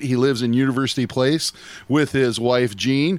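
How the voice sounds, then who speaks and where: This man has an unremarkable speaking voice at medium pitch, moving at a fairly slow pace. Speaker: radio co-host. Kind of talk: casual chat.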